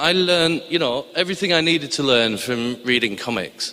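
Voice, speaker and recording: A man with a Cumbrian accent talks at a moderate pace with lively intonation. Noticeable background noise is present. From northern England, Barrow-in-Furness, Cumbria. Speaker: TV science documentary editor. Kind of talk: live storytelling to an audience. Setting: stage with audience in a chapel. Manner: hesitant, many fillers and restarts.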